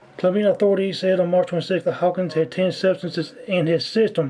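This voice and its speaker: Against noticeable background noise, a high-pitched man talks very fast with fairly even intonation. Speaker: online commentator. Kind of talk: casual livestream commentary. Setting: livestream.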